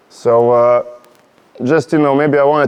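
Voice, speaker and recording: A Slovenian accent at a moderate pace, with monotone, flat intonation. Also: man. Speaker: podcast host. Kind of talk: casual interview chat. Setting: warehouse. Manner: halting.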